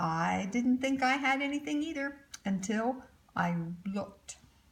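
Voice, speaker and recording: Putting on a character voice, a woman sounds squeaky and high-pitched with lively intonation and a timid, anxious tone at a moderate pace. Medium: read story.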